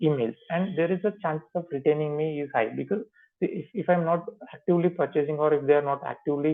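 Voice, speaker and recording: Ordinary pitch variation comes with a fairly quick pace. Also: man. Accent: Indian. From India. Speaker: software trainer. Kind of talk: tutorial. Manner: halting.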